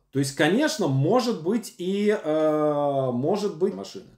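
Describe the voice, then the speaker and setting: A man speaks at a fairly high pitch, swinging very widely up and down. Room echo is audible, though the background is quiet. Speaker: screenwriting teacher. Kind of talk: lecture. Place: home room. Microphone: webcam.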